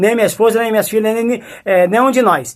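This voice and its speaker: Talking very fast, a man sounds animated. His pitch is high. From Brazil, Mato Grosso do Sul (Campo Grande). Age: 60s. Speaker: preacher. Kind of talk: testimony.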